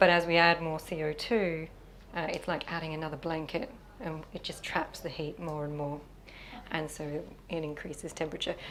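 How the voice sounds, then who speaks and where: A woman speaks with an Australian accent at a moderate pace. Her pitch is very deep and low, and her intonation fairly even. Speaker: sustainability facilitator. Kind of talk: interview. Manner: hesitant with fillers.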